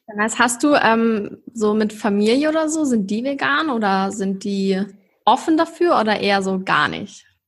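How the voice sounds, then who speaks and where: Her voice is fairly high and somewhat breathy, with lively intonation. The woman speaks at a fairly slow pace. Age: 20s. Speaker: podcast host. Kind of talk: casual chat. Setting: video call.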